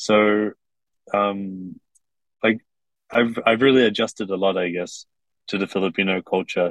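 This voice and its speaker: A man at a fairly low pitch and moderate pace, with fairly even intonation, long, frequent pauses, and a dry, close sound with no echo. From Kuwait. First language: English (speaking Tagalog). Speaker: TikTok creator. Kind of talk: interview.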